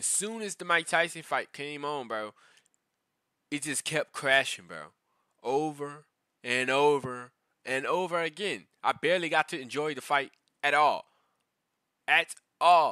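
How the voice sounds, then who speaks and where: Fairly high-pitched for a man, this man's bright, sharp, animated voice goes at a fairly slow pace with long, frequent pauses and big swings in loudness, the sound dry with no echo over a quiet background. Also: ordinary pitch variation. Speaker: YouTube reaction creator. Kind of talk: casual reaction rant, with fight commentary clips. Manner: animated, ranting, slangy, repeats 'bro'; frustrated, conversational, storytelling. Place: home room. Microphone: headset.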